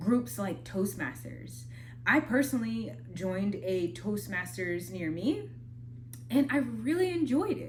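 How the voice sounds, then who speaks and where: There is audible room echo as a woman speaks with an American accent at a very slow pace. Her speech has long, frequent pauses. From Minnesota. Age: 20s. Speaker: spoken word artist and vlogger. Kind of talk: casual advice talk. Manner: conversational, slightly halting.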